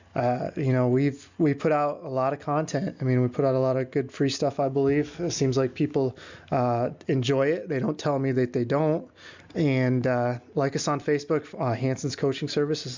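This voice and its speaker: Speaking at a moderate pace, a man keeps a monotone, flat intonation at a fairly high pitch. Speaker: running coach and author. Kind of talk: online lecture with slides. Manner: casual, filler-heavy.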